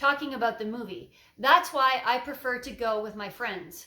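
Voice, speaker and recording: A woman projects a raised voice with a high pitch and a bright, sharp tone. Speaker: TOEFL teacher. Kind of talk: tutorial with sample answers.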